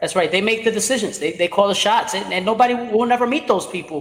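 Someone with an American accent talks at a very fast pace with ordinary pitch variation. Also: man. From New York, Brooklyn. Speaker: podcast host. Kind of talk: casual interview.

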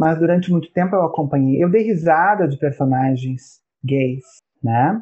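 A man speaks in a plain, everyday voice, fairly high for a man. His pace is fairly slow, with ordinary pitch variation. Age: 40s. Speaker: professor. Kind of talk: casual chat.

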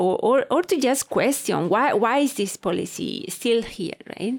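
A woman talks fairly slowly with lively intonation in an ordinary speaking voice, the sound dry and close with no echo. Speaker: research assistant and graduate student. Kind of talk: casual interview conversation. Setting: studio.

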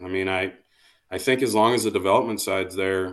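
In a normal speaking voice with an American accent, a man speaks at a moderate pace with fairly even intonation against a quiet background. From US Midwest, Iowa. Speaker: college baseball coach. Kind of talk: podcast interview.

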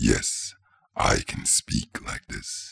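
Raspy and rough, a man's voice comes through. It is a put-on character voice.

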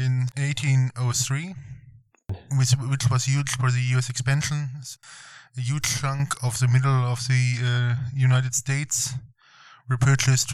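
A man in a German accent, very slow and somewhat breathy, with long, frequent pauses and monotone, flat intonation. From Germany. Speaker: visiting tourist on road trip. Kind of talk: casual interview chat. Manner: halting, many fillers.

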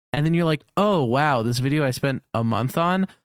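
At a moderate pace, a man with an ordinary speaking voice and ordinary pitch variation is heard in a dry, close sound with no echo on a very clean recording with a silent background. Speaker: podcast co-host and YouTube creator. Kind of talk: casual chat.

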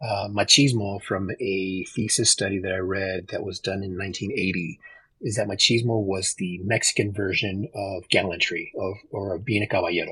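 A man with an American accent speaks at a moderate pace with fairly low pitch. His tone is bright and sharp, and his intonation fairly even. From Texas. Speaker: podcast guest sharing life stories. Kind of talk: casual chat.

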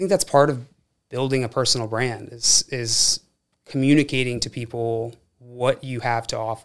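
This man has a normal speaking voice with a medium pitch. He talks at a moderate speed with fairly even intonation. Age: 20s. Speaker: tech executive. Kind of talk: casual chat.

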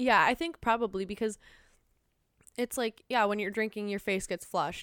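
The recording is very clean with a silent background, as a woman speaks in a normal speaking voice of medium pitch with ordinary pitch variation. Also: dry, close sound with no echo. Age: 20s. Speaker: podcast guest. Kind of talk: casual chat.

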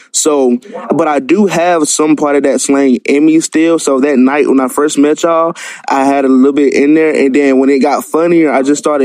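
With an American accent, a man talks at a moderate pace in a fairly high pitch, his intonation fairly even and his loudness very even, amid noticeable background noise. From US South, Columbus, Georgia. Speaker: caller. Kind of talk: casual chat. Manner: stutters; calm.

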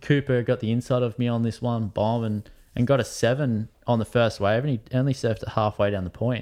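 A man speaks at a fairly quick pace with an Australian accent and fairly even intonation. The background is quiet. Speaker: professional surfer. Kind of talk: casual chat.

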